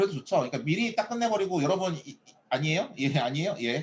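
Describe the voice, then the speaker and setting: Lively intonation marks a man talking at a very fast pace. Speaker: professor. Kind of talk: lecture. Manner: animated.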